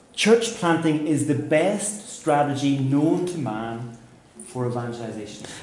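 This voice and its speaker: Amid noticeable background noise and audible room echo, a man with a fairly high pitch talks at a very slow pace with lively intonation. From Northern Ireland, Belfast. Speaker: pastor and church planter. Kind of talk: seminar talk with interpreter. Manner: pausing for consecutive interpretation.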